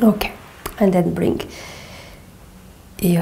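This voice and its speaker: With a Portuguese accent and a gentle tone, a woman talks with ordinary pitch variation amid noticeable background noise and audible room echo. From Portugal. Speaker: movement and yoga teacher. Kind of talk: guided exercise instruction. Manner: slow, gentle.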